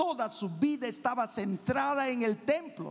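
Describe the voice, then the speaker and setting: At a fairly slow pace, a man speaks in an animated tone with lively intonation. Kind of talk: sermon. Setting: church. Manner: loud.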